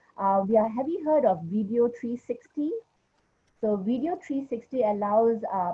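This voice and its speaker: A woman's lively intonation rides a somewhat breathy voice as she talks at a moderate pace. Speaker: education ministry official. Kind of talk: panel discussion. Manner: hesitant, many fillers.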